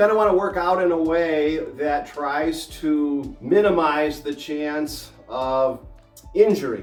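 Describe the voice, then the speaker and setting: A man talks at a fairly high pitch while music plays in the background. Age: 60s. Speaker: fitness and health advice host. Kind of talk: casual instructional talk to camera.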